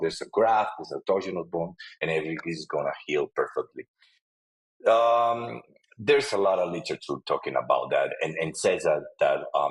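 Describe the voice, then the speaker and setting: A man with a Spanish accent speaks at a moderate pace, with a dry, close sound and no echo. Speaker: periodontist and lecturer. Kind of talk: webinar lecture. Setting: online webinar. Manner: halting, many fillers and repetitions.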